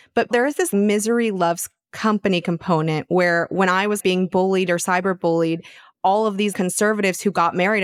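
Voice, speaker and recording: A woman with an American accent talks at a moderate pace and medium pitch, with ordinary pitch variation. The sound is dry and close with no echo. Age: 30s. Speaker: podcast host and confidence coach. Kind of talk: casual interview chat.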